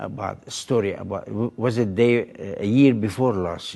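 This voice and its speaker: A man's fairly even, fairly slow speech comes through with noticeable background noise. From Lebanon (Beirut). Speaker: doctor, tornado survivor. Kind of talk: interview. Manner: halting.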